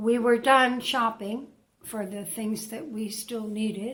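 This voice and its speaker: Fairly high in pitch and somewhat breathy, a woman speaks very slowly with fairly even intonation. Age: 70s. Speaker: retired woman vlogging about isolation. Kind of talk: casual monologue to camera. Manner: halting, many fillers.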